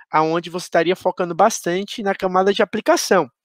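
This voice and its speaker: In a Pernambuco accent, a man speaks at a high pitch. The sound is dry and close with no echo, against a quiet background. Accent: Pernambuco Brazilian Portuguese. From Brazil, Pernambuco (Garanhuns, interior). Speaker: security professional, conference speaker. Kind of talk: conference talk. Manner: halting, many fillers.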